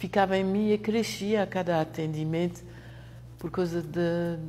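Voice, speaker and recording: Speaking fairly slowly, a woman with a fairly low pitch uses lively intonation. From France. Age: 60s. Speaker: therapist. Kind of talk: testimony. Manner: halting.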